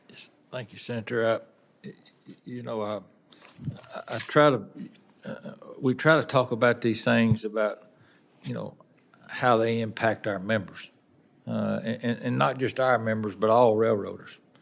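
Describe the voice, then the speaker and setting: A man with a Southern US accent talks at a medium pitch, leaving long, frequent pauses. His loudness swings widely. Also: ordinary pitch variation, moderate pace. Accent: Southern US, says it is noticeable. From Tennessee, Wilson County. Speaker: railroad union representative. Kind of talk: testimony. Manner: halting, many repetitions.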